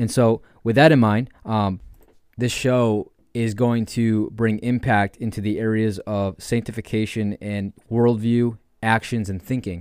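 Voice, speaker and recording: Speaking slowly-ish with fairly even intonation, a man with an American accent talks at a medium pitch. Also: very clean recording, silent background. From New York State. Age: 20s. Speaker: podcast host. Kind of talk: religious teaching monologue.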